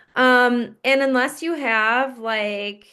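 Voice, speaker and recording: Over a quiet background, a woman with a Wisconsin accent speaks at a fairly high pitch with ordinary pitch variation. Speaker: fitness coach. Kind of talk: group coaching call.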